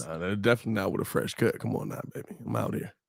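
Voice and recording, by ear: A man's raspy, put-on character voice, fairly low in pitch, at a very fast pace.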